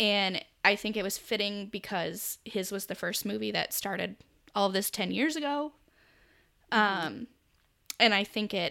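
With a General American accent, the speaker has a bright, sharp tone with vocal fry and ordinary pitch variation. The pace is fairly slow with long, frequent pauses, in a very clean recording with a silent background. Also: woman. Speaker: podcast host. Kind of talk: casual chat.

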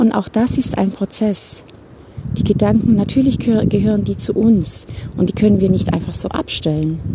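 Over noticeable background noise, a woman speaks at a moderate pace in a medium pitch. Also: ordinary pitch variation. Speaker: life coach. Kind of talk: podcast monologue. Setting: outdoors, walking in a forest.

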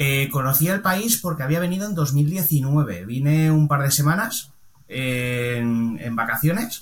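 Fairly high male voice, somewhat breathy, with lively intonation at a very slow pace. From Valencia, Spain. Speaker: car body repairer and painter. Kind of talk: casual interview chat.

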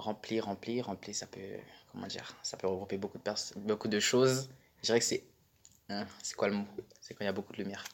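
The speech is monotone and flat in intonation, broken by long, frequent pauses. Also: man, fairly low pitch for a man. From Paris suburbs, Val-d'Oise. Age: 20s. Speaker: student. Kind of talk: casual chat. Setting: socio-cultural centre room. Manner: halting.

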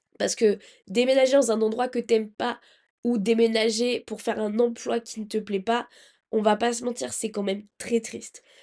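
A woman's fairly high voice, dark and mellow in tone, at a moderate pace with fairly even intonation against a quiet background. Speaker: podcast host giving job-search advice. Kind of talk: casual solo advice monologue.

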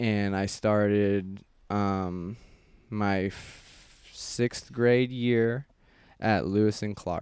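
Very slow speech in an American accent keeps a fairly even intonation. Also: man, fairly low pitch for a man. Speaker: guest. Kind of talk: casual chat.

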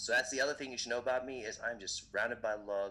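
This is a man speaking. He has an American accent. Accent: sounds American. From Indian, raised in many countries (Africa, Europe, Asia, US). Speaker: event MC and motivational speaker. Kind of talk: casual interview.

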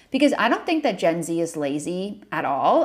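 At a moderate pace, a woman talks in a normal speaking voice pitched fairly low. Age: 20s. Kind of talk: solo Q&A podcast monologue.

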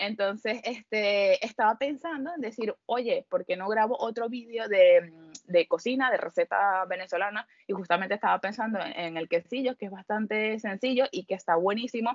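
With a plain, everyday voice, a woman speaks at a moderate pace, her fairly high pitch showing ordinary pitch variation. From Venezuela. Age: 30s. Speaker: audiovisual communicator. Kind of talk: casual interview.

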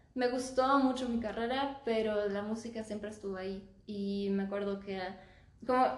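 A medium-pitched woman at a moderate pace, ordinary pitch variation, noticeable background noise and audible room echo. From Germany (Stuttgart). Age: 20s. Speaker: singer-songwriter. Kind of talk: casual chat.

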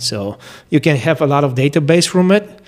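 In a Bulgarian accent, a man speaks at a fairly high pitch with ordinary pitch variation. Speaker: firearms instructor. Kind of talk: interview.

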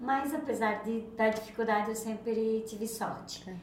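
The speech moves at a moderate pace with fairly even intonation, with noticeable background noise and audible room echo. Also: woman. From Santa Catarina, Brazil (Rio do Campo). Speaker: hair salon owner. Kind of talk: casual interview.

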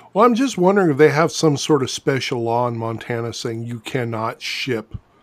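He has an unremarkable speaking voice, medium in pitch for a man, with ordinary pitch variation. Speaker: podcast host and novelist. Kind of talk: casual chat. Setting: drink-along podcast. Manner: jokey, playful.

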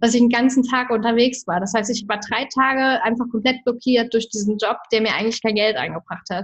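A woman talks in a fairly high, somewhat breathy voice with ordinary pitch variation. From Germany. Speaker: entrepreneur and women's coach. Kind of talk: interview.

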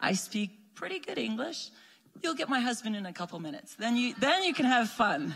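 Over noticeable background noise, a woman with a high pitch talks at a fairly quick pace with very wide pitch swings. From Quebec. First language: French. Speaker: missionary. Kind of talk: church greeting. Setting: church.

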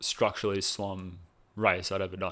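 A man talks at a moderate pace with an Australian accent. The recording is very clean, with a silent background. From Australia, New South Wales (Cronulla). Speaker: personal trainer, former competitive swimmer. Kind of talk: casual interview chat.

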